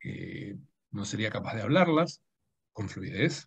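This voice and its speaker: A somewhat breathy man at a very slow pace. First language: Dutch (speaking Spanish). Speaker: writer and translator. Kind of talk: public conversation. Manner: halting.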